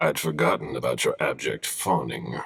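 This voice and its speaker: Raspy and very deep in pitch, a man performs a put-on character voice. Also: moderate pace. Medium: video game. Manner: restrained, formal.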